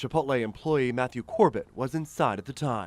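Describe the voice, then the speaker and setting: Talking a little fast with lively intonation, the man has an unremarkable speaking voice at a medium pitch. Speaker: TV news reporter. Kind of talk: TV news package voiceover narration.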